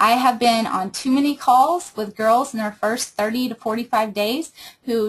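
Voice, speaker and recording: Woman with a fairly high, somewhat breathy voice at a moderate pace. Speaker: team leader training direct sales recruiters. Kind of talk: training webinar.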